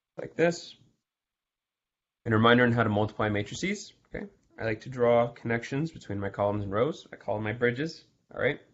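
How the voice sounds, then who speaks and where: A man's fairly quick speech with ordinary pitch variation, big swings in loudness and long, frequent pauses. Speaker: math tutor. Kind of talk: exam review lecture. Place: home room. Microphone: video call.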